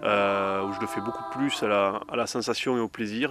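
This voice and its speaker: A man talks with ordinary pitch movement, clearly audible background noise around him. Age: 20s. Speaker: trail runner. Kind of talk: interview testimony. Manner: halting with many fillers.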